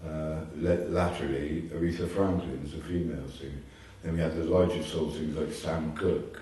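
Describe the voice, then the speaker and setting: A man speaks at a moderate pace in a very deep, low pitch with monotone, flat intonation. Noticeable background noise and audible room echo fill the recording. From Bristol, south-west England. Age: 70s. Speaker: DJ. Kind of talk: interview.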